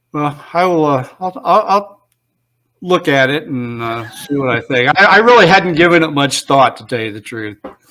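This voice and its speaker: Speaking at a moderate pace with an Indiana accent, a man with a fairly high pitch uses lively intonation and big swings in loudness. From US Midwest, Northwest Ohio. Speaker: author and researcher. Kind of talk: debate.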